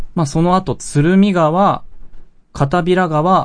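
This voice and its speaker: The delivery is very slow in pace, with ordinary pitch variation. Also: man. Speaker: podcast host. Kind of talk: scripted narration; casual chat.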